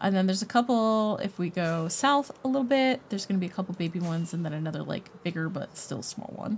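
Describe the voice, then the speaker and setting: A woman talks at a fairly quick pace with lively intonation. Her medium-pitched voice is somewhat breathy. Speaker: gaming streamer. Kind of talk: live stream chat with viewers. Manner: fast; animated.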